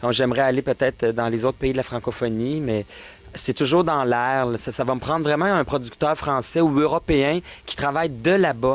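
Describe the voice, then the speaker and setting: In a Quebec accent, a man speaks at a moderate pace in a medium-pitched voice with ordinary pitch variation. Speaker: drag performer. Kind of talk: casual interview.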